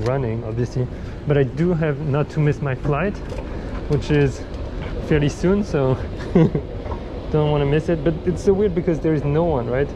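With noticeable background noise behind him, a man speaks at a moderate pace, leaving long, frequent pauses. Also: ordinary pitch variation, very even loudness. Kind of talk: casual vlog chat. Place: station. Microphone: phone near.

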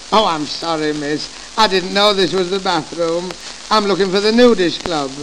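At a moderate pace and with ordinary pitch variation, the voice comes through noticeable background noise. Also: man, high pitch for a man. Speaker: comedian. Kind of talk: vintage comedy sketch with comic patter. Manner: jokey, cheeky.

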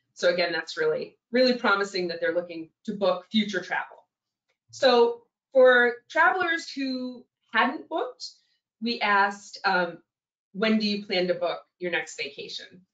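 In a quiet background with audible room echo, a woman talks at a fairly slow pace, her fairly high pitch making very wide swings. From New England. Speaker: general manager of a lodging booking website. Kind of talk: webinar presentation. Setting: online webinar. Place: home room. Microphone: video call.

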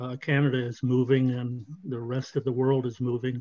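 A man speaks with a monotone, flat intonation. The sound is dry with no echo, over a quiet background. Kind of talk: meeting contribution. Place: home room. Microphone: video call.

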